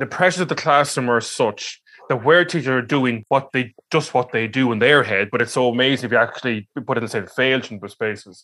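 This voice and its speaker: Speaking with an Irish accent, a man talks at a fairly quick pace with ordinary pitch variation. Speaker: podcast host, head of teaching regulator. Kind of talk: interview.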